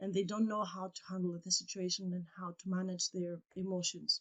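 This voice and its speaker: A woman speaks at a medium pitch with a Greek accent. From Greece. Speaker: English teacher and coach. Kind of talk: casual podcast conversation. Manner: halting, searching for words.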